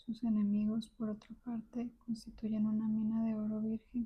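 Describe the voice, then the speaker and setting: At a moderate pace, the voice stays soft-spoken throughout. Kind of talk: book reading.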